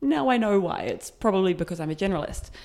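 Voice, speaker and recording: The recording is very clean, with a silent background. A woman speaks in a New Zealand accent. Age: 30s. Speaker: community founder. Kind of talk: interview. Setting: in person recording.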